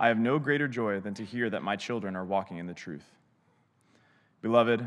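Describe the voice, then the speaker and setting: A man speaks in a normal speaking voice at a fairly quick pace, his pitch fairly low with ordinary variation, captured in a very clean recording with a silent background. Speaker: scripture reader. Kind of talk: reading aloud. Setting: church.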